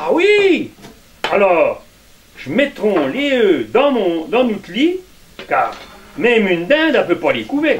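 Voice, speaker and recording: Against noticeable background noise, a man with an extremely high pitch speaks very slowly, with very wide pitch swings and long, frequent pauses. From Puisaye, Burgundy. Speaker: storyteller. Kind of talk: folk tale told to a live audience.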